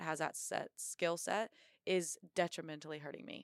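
A woman with an American accent speaks at a fairly low pitch in a dry, close sound with no echo, on a very clean recording with a silent background. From Indiana, US Midwest. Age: 20s. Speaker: Marine officer and bobsledder. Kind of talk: interview.

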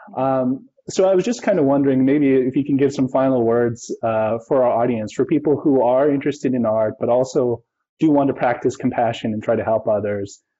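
Speaking at a fairly quick pace, the man has an unremarkable speaking voice of medium pitch with ordinary pitch variation. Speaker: host. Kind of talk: live interview introduction.

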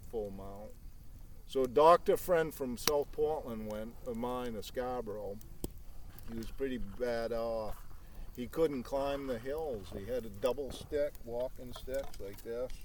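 A man with a plain, everyday voice at a medium pitch, talking at a fairly slow pace. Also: ordinary pitch variation. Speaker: trapper. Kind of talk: casual chat.

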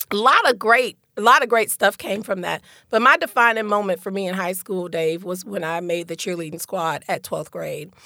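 A woman's bright, sharp tone comes at a fairly quick pace in a dry, close sound with no echo. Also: medium pitch for a woman, ordinary pitch variation. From Detroit, raised in Central Florida. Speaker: real estate broker and community advocate. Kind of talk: casual interview conversation.

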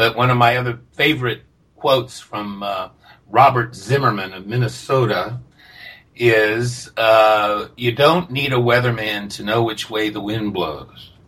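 A man with a plain, everyday voice speaks at a medium pitch and a fairly slow pace. His intonation is fairly even, but his loudness swings widely. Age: 60s. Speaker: recovering alcoholic, group member. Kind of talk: casual interview conversation. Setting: remote call.

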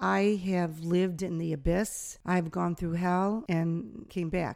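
This is an ordinary speaking voice. The recording is very clean, with a silent background. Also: woman. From upstate New York (Niagara Falls). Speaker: dance teacher. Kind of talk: casual interview. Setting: cabin at a dance camp.

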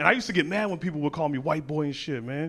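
A man with a fairly high pitch and ordinary pitch variation at a very fast pace, with noticeable background noise. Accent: American. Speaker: comedian. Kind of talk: stand-up. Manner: animated.

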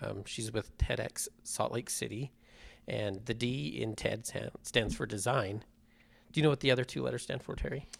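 Vocal fry marks this man's medium-pitched voice as he talks at a moderate pace. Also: ordinary pitch variation. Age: 40s. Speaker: podcast host. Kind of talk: casual chat. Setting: studio.

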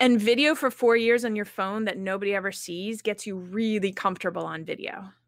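In a very clean recording with a silent background, a woman talks at a fairly quick pace with hardly any pauses and ordinary pitch variation. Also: medium pitch for a woman. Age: 40s. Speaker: LinkedIn marketing coach. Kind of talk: interview.

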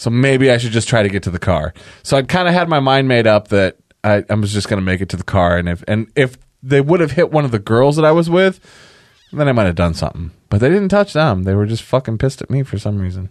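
With an animated tone and very wide pitch swings, a man talks very fast at medium pitch in a very clean recording with a silent background. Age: 40s. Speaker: podcast host. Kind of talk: casual chat.

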